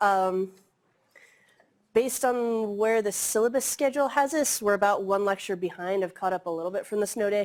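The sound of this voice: A woman speaks at a moderate pace with fairly even intonation and a medium pitch. Her tone is slightly mellow.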